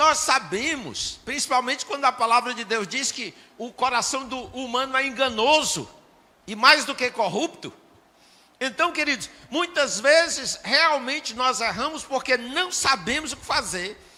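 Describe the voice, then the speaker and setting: Raising and projecting his voice, a man speaks fairly slowly in an extremely high pitch, with ordinary pitch variation and big swings in loudness. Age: 60s. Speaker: pastor. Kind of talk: sermon.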